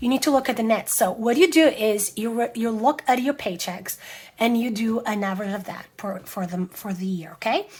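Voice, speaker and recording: Her voice is fairly high and somewhat breathy, with lively intonation. The woman is captured in a very clean recording over a silent background. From Europe. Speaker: planner and budgeting vlogger. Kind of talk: casual tutorial talk to camera. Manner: hesitant, spontaneous with fillers.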